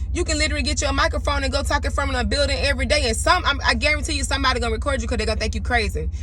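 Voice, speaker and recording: A woman rattles on at a very fast pace in an animated tone with hardly any pauses, with audible room echo and noticeable background noise. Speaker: spiritual astrology content creator. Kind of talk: casual monologue to camera. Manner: raw, unpolished.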